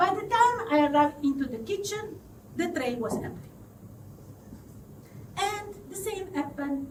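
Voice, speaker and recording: A woman speaks high with very wide pitch swings over noticeable background noise. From southern Italy. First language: Italian. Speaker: confidence coach. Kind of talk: live storytelling to an audience.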